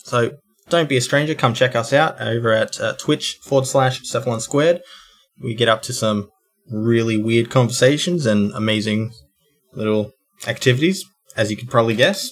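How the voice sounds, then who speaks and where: At a moderate pace, a man speaks in an Australian accent at a medium pitch. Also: ordinary pitch variation. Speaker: podcast co-host. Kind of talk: casual chat.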